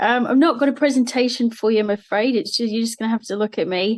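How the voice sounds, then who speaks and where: A woman's high, very fast voice with an Australian accent and ordinary pitch variation, over a quiet background. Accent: Australian, changed a little over time. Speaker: marine operations manager. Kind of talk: talk to students. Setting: live streamed assembly.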